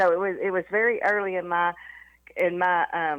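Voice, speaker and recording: A woman with a Southern accent speaks in a fairly low pitch, her intonation fairly even. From US South, East Tennessee. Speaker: former company CEO. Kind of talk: interview.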